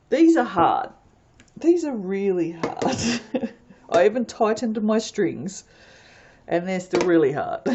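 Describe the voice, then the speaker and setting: Amid noticeable background noise, a woman with a fairly high pitch speaks fairly slowly in an animated tone, with very wide pitch swings and long, frequent pauses. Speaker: soap maker. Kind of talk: tutorial. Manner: casual, animated.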